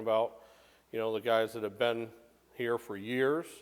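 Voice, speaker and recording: A man of medium pitch speaks with an American accent. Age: 60s. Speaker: retired fire chief, volunteer firefighter. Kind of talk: oral history interview. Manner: halting, with fillers.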